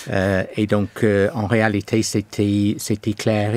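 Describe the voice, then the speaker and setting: The speaker goes at a very slow pace with a slight English accent. The intonation stays monotone and flat. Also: man. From England. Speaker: pastor. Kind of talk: testimony interview. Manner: halting, many hesitations.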